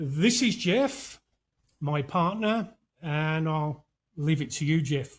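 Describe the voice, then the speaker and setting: Very slow speech from a man with a British accent, fairly high pitch, lively intonation and long, frequent pauses, on a very clean recording with a silent background. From UK. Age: 60s. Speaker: podcast host. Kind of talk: casual chat.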